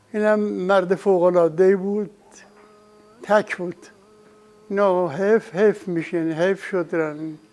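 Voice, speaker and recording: A man's high-pitched voice at a fairly slow pace, with fairly even intonation and music in the background. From Isfahan province, Iran. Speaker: vocalist and musician. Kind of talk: interview answer.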